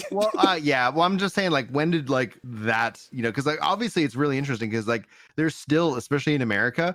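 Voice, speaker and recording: This man's pitch is fairly high. He talks at a very fast pace with lively intonation. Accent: Texas. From Texas, Fort Worth. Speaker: comedian. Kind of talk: casual chat. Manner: halting.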